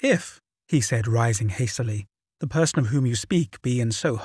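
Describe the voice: The speaker is plainly reading aloud with ordinary pitch variation. There is a quiet background.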